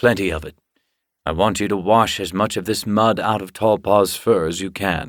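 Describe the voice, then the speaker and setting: In a gruff put-on character voice, a man speaks at a fairly low pitch and moderate pace on a very clean recording with a silent background. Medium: read story. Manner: gruff, brusque.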